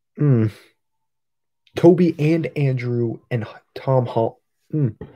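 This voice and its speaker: Quiet and very slow, a man speaks in a dark, mellow tone at a fairly high pitch with ordinary pitch variation. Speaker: toy collector livestreamer. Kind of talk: casual livestream chat. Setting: livestream. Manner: quiet, subdued.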